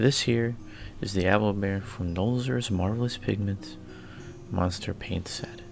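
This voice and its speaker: With music in the background, a man talks at a fairly slow pace, his pitch fairly low with ordinary variation. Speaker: hobby miniature painter. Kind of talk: casual hobby vlog narration. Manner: hesitant, casual.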